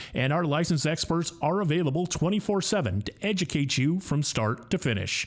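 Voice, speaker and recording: A man speaks in an ordinary speaking voice at a fairly high pitch. His intonation is lively and his pace fairly quick. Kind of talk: radio commercial read.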